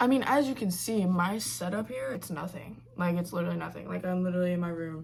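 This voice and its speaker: A woman talks with lively intonation. Noticeable background noise sits behind her. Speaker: vlogger. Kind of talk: casual vlog talk to camera. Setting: in her bedroom. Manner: casual, filler-heavy.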